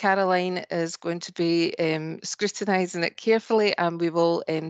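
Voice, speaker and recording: A woman speaks at a fairly low pitch and a fairly slow pace, her intonation monotone and flat. The sound is dry with no echo, and the background is quiet. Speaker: webinar host. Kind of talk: webinar introduction and housekeeping. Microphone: video call.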